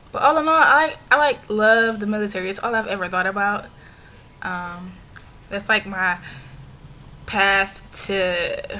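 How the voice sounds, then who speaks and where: A woman's medium-pitched voice at a fairly slow pace, with long, frequent pauses, big swings in loudness and noticeable background noise. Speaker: vlogger. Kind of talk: casual vlog monologue.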